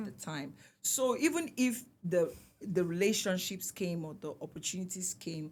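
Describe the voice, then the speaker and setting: With a Nigerian accent, this somewhat breathy voice moves at a moderate pace, using lively intonation and big swings in loudness. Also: woman, medium pitch for a woman. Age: 40s. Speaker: singer. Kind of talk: interview answer.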